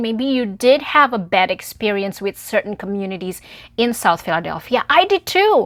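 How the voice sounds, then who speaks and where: A woman with a non-native accent at a moderate pace, on a very clean recording with a silent background. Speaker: community organizer. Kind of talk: personal appeal vlog.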